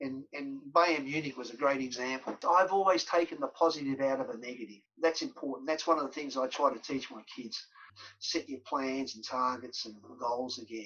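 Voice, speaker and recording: Speaking at a moderate pace with an Australian accent, the voice has a bright, sharp tone, ordinary pitch variation and big swings in loudness. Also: man, fairly high pitch for a man. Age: 60s. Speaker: former professional footballer. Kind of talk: podcast interview.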